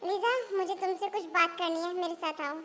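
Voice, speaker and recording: A woman puts on a squeaky character voice at an extremely high pitch. She keeps a moderate pace and fairly even intonation. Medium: read story. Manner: brash, bossy.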